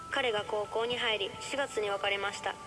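A woman with a fairly high pitch speaks over clear music in the background. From Kansai, Japan. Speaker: radio host. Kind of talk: reading a listener's letter on radio. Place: studio.

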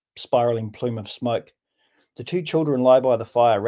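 Against a quiet background, someone reads in a natural reading voice with ordinary pitch variation.

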